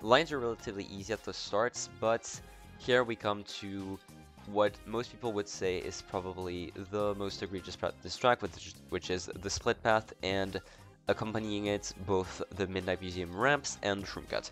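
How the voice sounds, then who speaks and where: Over music in the background, the voice moves at a moderate pace with ordinary pitch variation and big swings in loudness. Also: man, fairly low pitch for a man. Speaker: video game commentator. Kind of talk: casual gameplay commentary.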